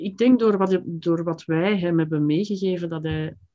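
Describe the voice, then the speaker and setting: A woman's fairly low voice, dark and mellow in tone, at a moderate pace with ordinary pitch variation. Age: 50s. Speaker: writer and writing teacher. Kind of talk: interview conversation. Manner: hesitant, with frequent repetitions.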